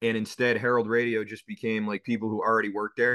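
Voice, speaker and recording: A man's bright, sharp tone at a medium pitch. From Boston, North End. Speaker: sports radio host. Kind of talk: interview.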